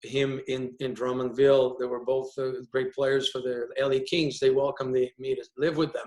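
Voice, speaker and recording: A man with a Quebec accent at a medium pitch and a moderate pace. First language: French. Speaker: hockey player agent. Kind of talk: panel discussion. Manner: halting, many repetitions.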